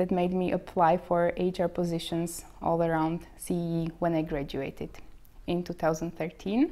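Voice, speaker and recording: In a Slovak accent, a woman speaks very slowly at a fairly low pitch, her dark, mellow tone held in a monotone, flat intonation. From Slovakia. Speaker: bank trainee. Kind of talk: interview. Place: office. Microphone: lapel.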